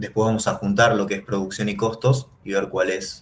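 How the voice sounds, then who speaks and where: This man's voice sits at a fairly low pitch and sounds somewhat breathy. He speaks at a fairly quick pace. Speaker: economics teacher. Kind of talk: lecture.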